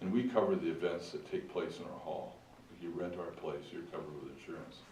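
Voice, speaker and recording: Audible room echo follows a man as he talks fairly quickly. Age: 60s. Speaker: community club representative. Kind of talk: presentation to a council meeting. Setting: council meeting room. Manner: halting.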